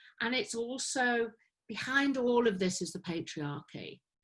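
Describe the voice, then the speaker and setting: A woman talks at a fairly slow pace in an ordinary speaking voice, her pitch varying in an ordinary way. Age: 50s. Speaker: women's circle facilitator. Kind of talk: interview answer.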